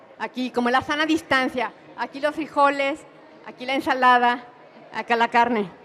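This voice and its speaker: At a moderate pace, a woman speaks in a high voice with fairly even intonation over noticeable background noise. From Mexico. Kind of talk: conference talk.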